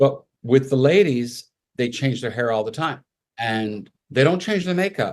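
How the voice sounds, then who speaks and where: With an ordinary speaking voice, a man talks fairly slowly at a medium pitch, his intonation lively. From Canada, Montreal. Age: 60s. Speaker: makeup artist. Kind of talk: interview.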